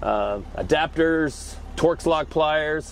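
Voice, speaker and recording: This man's pitch sits fairly high and has ordinary pitch variation. He has an ordinary speaking voice. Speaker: mobile tool truck dealer. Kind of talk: casual walkthrough tour.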